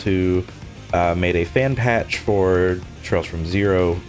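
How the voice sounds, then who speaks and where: A man is speaking. Music plays in the background. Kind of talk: casual gaming commentary.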